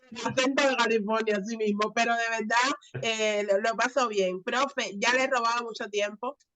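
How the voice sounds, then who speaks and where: A woman speaks at a high pitch with a bright, sharp tone. Her pitch varies an ordinary amount, and her pace is moderate. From Cuba. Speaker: channel host, student. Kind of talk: interview.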